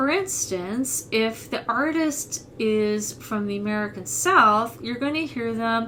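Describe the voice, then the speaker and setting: A woman talks with a fairly high pitch. Noticeable background noise runs behind her. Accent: Midwestern. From US Midwest. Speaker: voice teacher. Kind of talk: tutorial.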